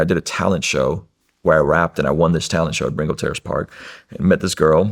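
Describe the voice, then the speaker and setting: A man rattles along at a very fast pace with vocal fry. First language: Russian. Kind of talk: testimony.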